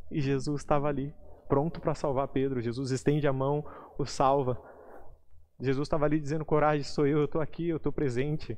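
A man talks at a fairly quick pace in a fairly high pitch, with a flat, monotone delivery. Long pauses come often, against a quiet background. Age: 20s. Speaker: lay preacher. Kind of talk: sermon; testimony.

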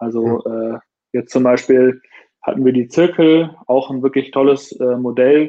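Here is a man at a medium pitch. His tone is dark and mellow. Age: 30s. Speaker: startup founder and CEO of a watch brand. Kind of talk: casual interview.

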